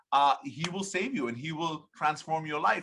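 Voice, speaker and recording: This man's voice has a bright, sharp tone. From Bahrain, Indian family. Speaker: evangelist. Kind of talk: podcast interview. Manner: animated.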